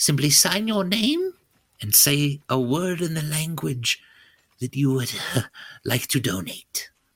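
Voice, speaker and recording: In a put-on character voice, a man speaks at a fairly high pitch. Long pauses come often. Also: fairly slow pace. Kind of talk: comic character voice at a game table. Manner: cheerful, grandmotherly, breezy.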